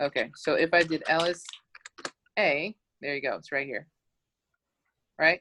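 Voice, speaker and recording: Long, frequent pauses break up a woman's bright, sharp voice, fairly low in pitch with ordinary pitch variation, heard in a dry, close sound with no echo. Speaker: teacher. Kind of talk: tutorial. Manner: fast.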